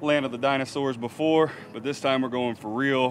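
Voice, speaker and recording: Faint music plays behind a man talking at a moderate pace. His intonation stays fairly even. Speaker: fishing boat captain vlogger. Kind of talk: casual vlog chat. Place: boat. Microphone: phone near.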